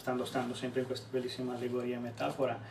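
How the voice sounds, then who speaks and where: Audible room echo and noticeable background noise around a man talking. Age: 30s. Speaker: organizational development consultant. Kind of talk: casual chat. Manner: halting.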